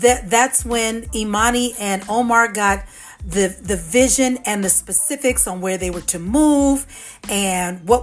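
Over a very clean recording with a silent background, a woman speaks in a plain, everyday voice at medium pitch with ordinary pitch variation. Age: 50s. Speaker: podcast host and author. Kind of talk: solo podcast talk.

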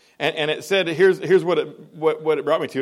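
This voice belongs to a man. It carries vocal fry. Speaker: preacher. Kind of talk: sermon. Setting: church. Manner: loud.

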